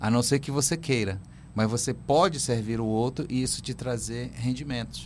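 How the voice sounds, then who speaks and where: A man speaks at a medium pitch, with ordinary pitch variation. He has an ordinary speaking voice. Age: 50s. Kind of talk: radio interview. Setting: radio studio.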